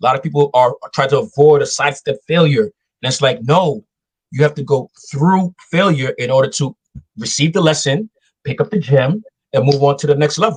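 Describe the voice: A man's medium-pitched voice with a slightly husky edge, fairly quick pace, ordinary pitch variation, and a dry, close sound with no echo.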